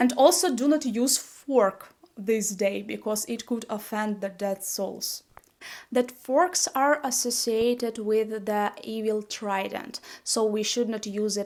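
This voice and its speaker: A woman with a fairly high voice talks at a very slow pace, with ordinary pitch variation. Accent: strong Slavic. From Ukraine. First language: Ukrainian. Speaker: YouTuber. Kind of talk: casual vlog talk. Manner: halting, with fillers.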